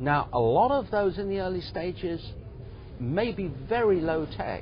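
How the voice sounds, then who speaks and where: A man's very slow speech with lively intonation and audible room echo. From England. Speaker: business incubator executive. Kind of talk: interview.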